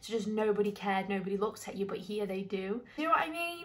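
A woman talks at a very fast pace. Light background noise can be heard. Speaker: travel vlogger. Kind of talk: casual vlog chat. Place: home room. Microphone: phone near.

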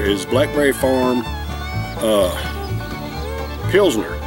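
Over clear music in the background, a man's voice comes through with a dry sound and no echo. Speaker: beer reviewer. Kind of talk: casual vlog chat. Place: garden.

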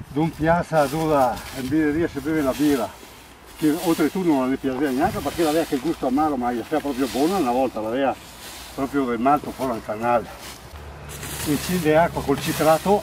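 A man with a Belluno accent speaks at a fairly quick pace with a fairly high pitch, ordinary pitch variation, and long, frequent pauses. The sound is dry with no echo, and noticeable background noise is present. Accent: local Agordino dialect. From Italy, Agordino area of Belluno (Veneto Dolomites); Veneto, Italy. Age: 70s. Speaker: retired hospitality worker and hay farmer. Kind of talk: casual storytelling; casual storytelling while working. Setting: outdoors in mountain meadows. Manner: talks nonstop. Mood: cheerful, joking. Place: open country.

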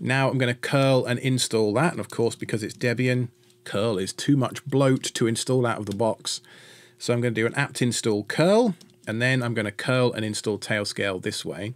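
There is ordinary pitch variation in this man's voice. He speaks at a moderate pace. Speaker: tech tutorial host. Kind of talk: tutorial.

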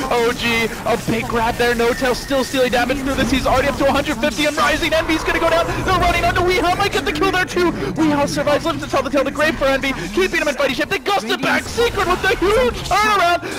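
Over noticeable background noise, a man with an extremely high pitch talks at a very fast pace with hardly any pauses, lively intonation and very even loudness. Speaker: esports commentator. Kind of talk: live esports commentary. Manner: fast-paced, play-by-play delivery; animated, excited.

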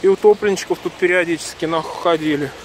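A man with a high pitch talks in a monotone, flat delivery at a moderate pace, the sound dry with no echo and light background noise. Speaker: local video blogger. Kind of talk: casual vlog commentary. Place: street. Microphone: phone near.

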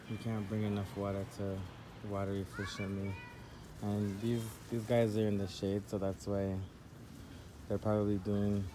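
Crowd noise fills the background as a man speaks at a moderate pace. His pitch is fairly low and his intonation monotone and flat. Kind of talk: casual vlog chat. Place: garden. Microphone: phone near.

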